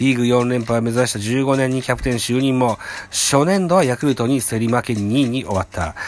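This man has an unremarkable speaking voice at a medium pitch. He talks at a fairly quick pace with ordinary pitch variation. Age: middle-aged. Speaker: baseball podcast host. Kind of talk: reading news articles aloud; casual fan commentary.

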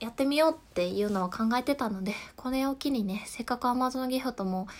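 A woman with a calm tone and a somewhat breathy voice talks at a moderate pace with ordinary pitch variation, in a very clean recording with a silent background. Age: 20s. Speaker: podcast host. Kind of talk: solo talk. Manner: laughs at times.

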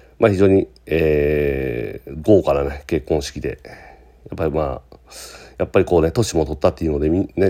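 A man talks at a moderate pace in a very deep, low voice whose pitch varies in an ordinary way. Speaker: podcast host and business owner. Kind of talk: casual solo monologue podcast. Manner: casual, filler-heavy, conversational.

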